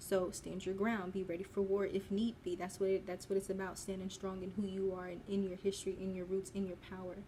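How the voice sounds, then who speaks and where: A woman talks at a fairly quick pace with hardly any pauses in a monotone, flat intonation. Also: medium pitch for a woman. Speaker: spiritual content creator. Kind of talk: casual commentary video. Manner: halting, stuttering.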